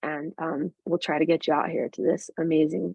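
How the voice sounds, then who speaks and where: A woman speaking at a fairly quick pace. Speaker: physician presenting at journal club. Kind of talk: case presentation. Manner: fast.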